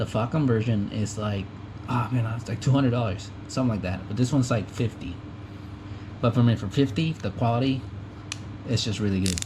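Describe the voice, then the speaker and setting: Over noticeable background noise, a man with a medium pitch talks at a fairly quick pace but takes long, frequent pauses. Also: ordinary pitch variation. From US, Mexican family. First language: Spanish. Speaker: tool enthusiast youtuber. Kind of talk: casual tool show-and-tell. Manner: halting, many fillers.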